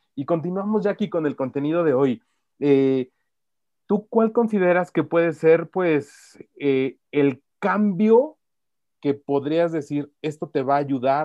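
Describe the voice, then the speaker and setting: A man talks at a very slow pace with lively intonation. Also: fairly high pitch for a man. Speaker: podcast host. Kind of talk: interview.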